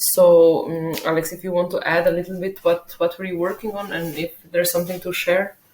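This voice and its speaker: A woman with a non-native accent speaks at a fairly low pitch. Her intonation is monotone and flat. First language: not English. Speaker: software developer. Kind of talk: work log video update. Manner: hesitant, many fillers.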